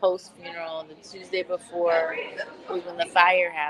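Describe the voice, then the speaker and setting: A woman with a fairly low pitch speaks at a fairly slow pace over noticeable background noise. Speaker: podcast host. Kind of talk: casual livestream chat. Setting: restaurant, eating oysters while streaming. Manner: casual, chatty. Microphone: laptop mic, poor sound.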